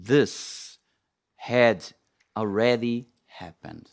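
A man with a non-native accent is heard on a very clean recording with a silent background. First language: not English. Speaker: preacher. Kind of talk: sermon. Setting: church. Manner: halting.

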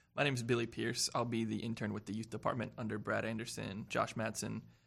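A man with an American accent talks at a fairly quick pace in a medium pitch, with vocal fry and a monotone, flat intonation. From South Carolina (Spartanburg). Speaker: pastoral intern. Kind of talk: casual chat.

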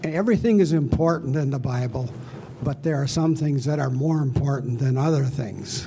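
Noticeable background noise accompanies a man speaking at a moderate pace, with a fairly high pitch and ordinary pitch variation. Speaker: Bible study participant. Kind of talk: casual group discussion.

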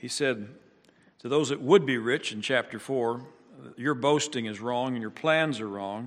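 An unremarkable speaking voice from a man at medium pitch, fairly slow, with ordinary pitch variation and big swings in loudness, over a quiet background. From US Midwest. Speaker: pastor. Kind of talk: sermon. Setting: church.

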